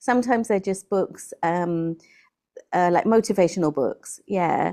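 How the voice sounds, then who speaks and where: With a British accent, a woman speaks in a dark, mellow tone at a medium pitch and moderate pace over a quiet background. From England. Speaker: English tutor. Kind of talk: interview answer. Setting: video call.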